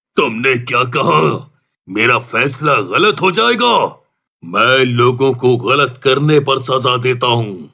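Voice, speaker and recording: A cartoonish character voice at a very slow pace against a quiet background. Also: man, medium pitch for a man. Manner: imperious, gloating.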